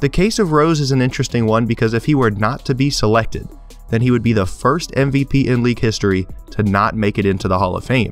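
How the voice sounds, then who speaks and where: Music plays in the background while a man speaks. He goes very fast, with ordinary pitch variation. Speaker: sports commentator. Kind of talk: sports analysis narration.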